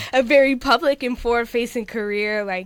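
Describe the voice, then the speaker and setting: A woman with a New York accent, ordinary pitch variation and a fairly quick pace. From New York City. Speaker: musician. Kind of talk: interview. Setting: radio studio. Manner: loud.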